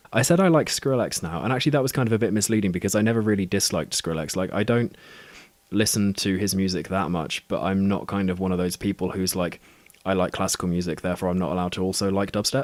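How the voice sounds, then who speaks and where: Speaking at a very fast pace, a man with a southern English accent has a very deep, low voice. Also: ordinary pitch variation. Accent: non-specific southern British. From Southwest England. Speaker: podcaster. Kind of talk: casual chat. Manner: halting.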